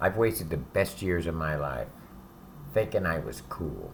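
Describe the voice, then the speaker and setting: A man's very deep, low voice with vocal fry, lively intonation and a fairly slow pace. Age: 60s. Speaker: ex-convict giving advice to youth. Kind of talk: direct-to-camera monologue. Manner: casual, profane.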